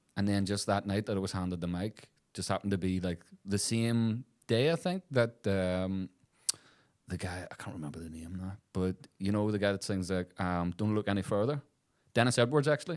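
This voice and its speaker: At a fairly quick pace, a man with a Northern Irish accent speaks in a fairly low pitch with ordinary pitch variation. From Belfast, Northern Ireland. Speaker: soul and funk singer. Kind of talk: interview answer.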